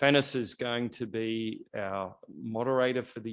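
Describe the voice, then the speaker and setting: Over a quiet background, a man with an Australian accent talks at medium pitch. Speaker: NGO representative opening a health policy event. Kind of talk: event welcome speech.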